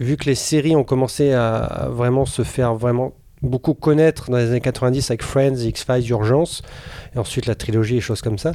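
Pitched at a medium level, a man's voice has a dark, mellow tone and fairly even intonation. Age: 40s. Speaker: radio show co-host. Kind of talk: casual chat.

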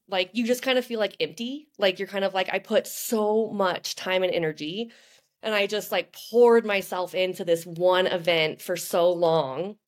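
A woman speaks with a plain, everyday voice at a medium pitch. Her pace is moderate and her pitch variation ordinary. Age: 30s. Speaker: professional marathon runner. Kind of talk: casual chat. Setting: video call.

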